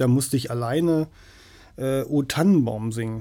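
A man speaks at a fairly slow pace in a fairly high voice with a dark, mellow tone. The recording is very clean and the background silent. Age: 50s. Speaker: musician and sound producer. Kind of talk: casual interview chat. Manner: halting, many fillers.

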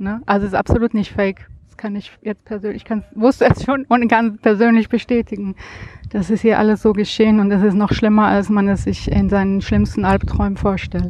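Monotone and flat, a woman at medium pitch speaks at a moderate pace in a dry, close sound with no echo. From Germany. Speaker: visitor, friend of host. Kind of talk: interview. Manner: hesitant, many filler sounds.

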